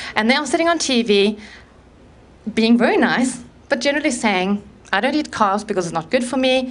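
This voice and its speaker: A woman's high-pitched voice with a South African accent, fairly quick pace, lively intonation and long, frequent pauses. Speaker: conference speaker on low-carb eating. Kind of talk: talk to live audience.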